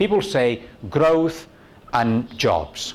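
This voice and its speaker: With very wide pitch swings, a man's voice carries vocal fry. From Spain. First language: Spanish. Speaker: university tourism researcher, conference speaker. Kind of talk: conference talk. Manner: conversational, frequent "okay?" and fillers.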